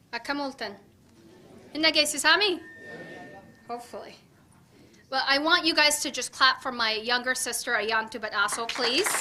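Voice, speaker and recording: A woman speaks in a high, raised and projected voice, with ordinary pitch variation. Her long pauses come often, over noticeable background noise. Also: moderate pace. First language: Afan Oromo. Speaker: political candidate. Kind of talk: campaign speech.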